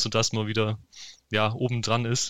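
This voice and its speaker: A man talks in a monotone, with flat intonation. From eastern Württemberg, Germany (Heidenheim area). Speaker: esports gamer, football fan. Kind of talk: casual interview.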